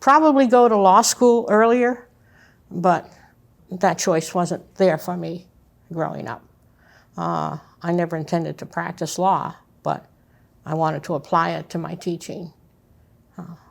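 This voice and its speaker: In a very clean recording with a silent background, a woman with vocal fry speaks slowly-ish and fairly low in pitch, with big swings in loudness and long, frequent pauses. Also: ordinary pitch variation. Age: 80s+. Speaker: retired professor and coach. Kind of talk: interview. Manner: halting.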